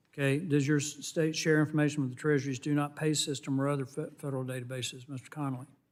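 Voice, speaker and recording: Fairly high and monotone, a man talks with a Southern US accent and flat intonation. His pace is very fast, with hardly any pauses. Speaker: congressman. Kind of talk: congressional hearing questioning. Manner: brisk, curt.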